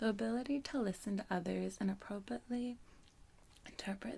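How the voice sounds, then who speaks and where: A woman whispering, soft-spoken and somewhat breathy. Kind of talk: ASMR book reading. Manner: soft-spoken, whispering.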